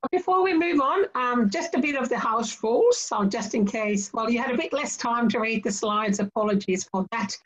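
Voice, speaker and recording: Over a quiet background, a woman talks fairly quickly with lively intonation and hardly any pauses. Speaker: webinar MC. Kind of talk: webinar moderation. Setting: online webinar. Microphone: video call.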